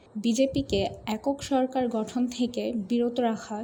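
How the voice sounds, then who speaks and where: Her intonation is fairly even. The woman's pitch sits high. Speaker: voice acting student. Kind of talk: news documentary narration.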